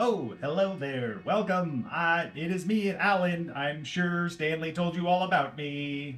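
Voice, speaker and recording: Using a put-on character voice, a man speaks at a high pitch and a fairly slow pace with hardly any pauses. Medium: actual play. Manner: polite, formal, speaks of itself by name.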